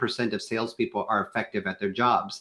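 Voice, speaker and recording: This is an ordinary speaking voice, a man with an American accent. He talks at a moderate pace in a medium pitch with ordinary pitch variation. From US Midwest, Kansas. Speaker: sales consultant with a doctorate. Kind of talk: panel discussion on a live show.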